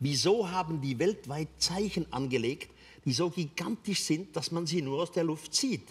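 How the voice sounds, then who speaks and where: At a fairly slow pace, a man with a high pitch speaks with lively intonation. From Switzerland. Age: 80s+. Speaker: author. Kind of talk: interview answer. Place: stage. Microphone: lapel.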